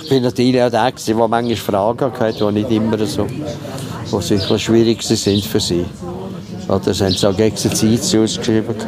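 Noticeable background noise sits behind a man's voice. He speaks at a moderate pace with very even loudness. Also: medium pitch for a man, ordinary pitch variation. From Switzerland, Stans (Nidwalden). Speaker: local historian and village guide. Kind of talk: casual interview. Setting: outdoors.

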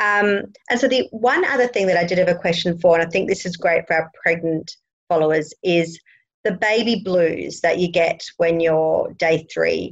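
A fairly low female voice with an Australian accent, very even loudness, ordinary pitch variation and a moderate pace. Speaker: midwife and lactation consultant, podcast host. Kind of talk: interview chat.

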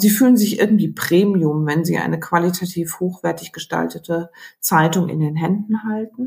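Somewhat breathy, a woman speaks at a moderate pace and fairly low pitch with ordinary pitch variation. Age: 50s. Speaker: newspaper editor. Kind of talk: interview.

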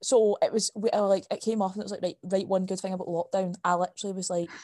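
A woman speaks in a Scottish accent with a dark, mellow tone at medium pitch. Her intonation is monotone and flat, over a quiet background. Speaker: podcast co-host, university student. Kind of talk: casual chat.

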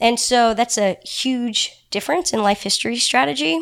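Here a woman uses an ordinary speaking voice at a moderate pace. Her intonation is lively. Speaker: elephant researcher. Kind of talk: casual interview chat.

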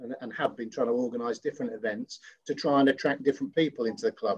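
A man talks at a very fast pace with an East Midlands accent. His pitch is fairly high, with ordinary pitch variation. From Nottinghamshire, England. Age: 50s. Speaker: rugby club veteran. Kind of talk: casual interview.

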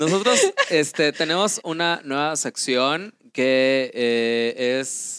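At a very slow pace, a man speaks with lively intonation and a fairly high pitch. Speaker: podcast co-host. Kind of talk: casual chat.

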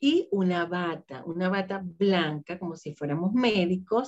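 Very slow speech from a woman with a fairly low pitch and ordinary pitch variation. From Venezuela. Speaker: holistic therapist and laughter coach. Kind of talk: interview.

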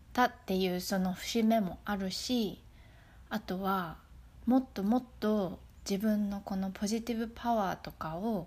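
A woman's somewhat breathy, relaxed voice at a medium pitch, fairly slow in pace and fairly even in intonation. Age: 30s. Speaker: podcast host. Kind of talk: casual motivational monologue. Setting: outdoors in a forest. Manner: relaxed, natural; halting.

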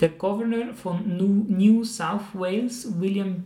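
A man speaks with a dark, mellow tone and a Swiss accent. His pace is very slow. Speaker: podcast host, teacher. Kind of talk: casual game-show chat.

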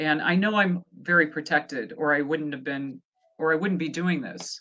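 Speaking with an American accent, a woman uses lively intonation at a moderate pace, her pitch fairly low, in an ordinary speaking voice. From US Midwest, rural Nebraska. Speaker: psychic medium. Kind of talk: casual interview.

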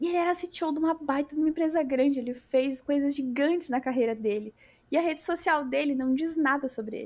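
Recorded very cleanly against a silent background, a woman speaks at a high pitch with ordinary pitch variation. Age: 30s. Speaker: software developer and tech lead. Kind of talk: casual chat.

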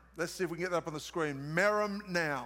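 A man talks with an Australian accent. His tone is bright, sharp and animated. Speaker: preacher. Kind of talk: sermon.

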